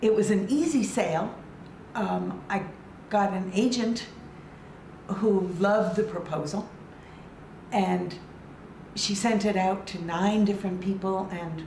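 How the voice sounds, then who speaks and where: A woman with an American accent, medium pitch and ordinary pitch variation, at a fairly slow pace with long, frequent pauses, over noticeable background noise. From Connecticut, USA. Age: 80s+. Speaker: children's book writer. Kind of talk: interview answer. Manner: joyful.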